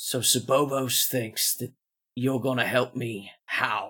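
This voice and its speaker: A man uses a put-on character voice, raspy and at medium pitch. His delivery is fairly slow, with monotone, flat intonation. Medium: actual play. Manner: blunt, condescending.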